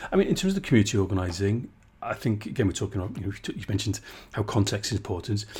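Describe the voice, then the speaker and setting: A somewhat breathy man with a fairly low pitch and a South Wales accent, on a very clean recording with a silent background. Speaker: podcast host. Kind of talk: interview.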